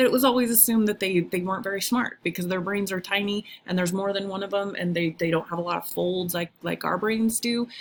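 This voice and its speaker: In an ordinary speaking voice, a woman speaks at medium pitch, varying it in an ordinary way. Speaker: high school biology teacher. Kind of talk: recorded video lecture. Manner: casual, with many fillers (um, uh).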